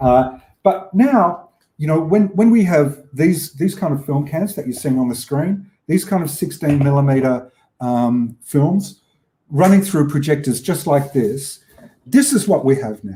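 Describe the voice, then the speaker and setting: This man has an Australian accent and a fairly high pitch, with a dark, mellow tone. He talks at a fairly slow pace in a somewhat breathy voice with lively intonation. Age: 60s. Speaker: film exhibitor and collector. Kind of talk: lecture. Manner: halting.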